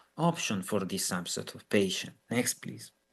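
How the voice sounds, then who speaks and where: A man with an Italian accent talks at a moderate pace, his pitch swinging very widely. The background is quiet. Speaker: physician. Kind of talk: lecture. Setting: video call. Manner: halting.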